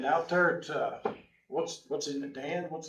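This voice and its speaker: Lively in intonation, a man with an American accent talks at a moderate pace, with audible room echo. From Indiana. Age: 70s. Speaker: local resident. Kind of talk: public comment at a town meeting. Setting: town council public hearing.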